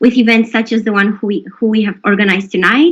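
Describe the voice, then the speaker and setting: Somewhat breathy, a woman talks at a very fast pace. Her pitch is fairly high. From Romania. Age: 20s. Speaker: law student event host. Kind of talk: event introduction.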